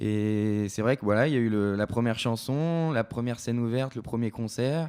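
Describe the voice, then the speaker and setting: The recording is very clean and the background silent. A man talks with ordinary variation in pitch. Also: medium pitch for a man, moderate pace. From France, Creuse. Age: 20s. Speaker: singer-songwriter. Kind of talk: interview. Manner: hesitant.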